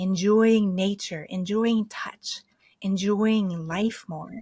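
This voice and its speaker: A woman speaks very slowly with an American accent. Her voice is somewhat breathy, at a medium pitch. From US East Coast. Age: 50s. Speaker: medicine singer and near-death experiencer. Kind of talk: interview.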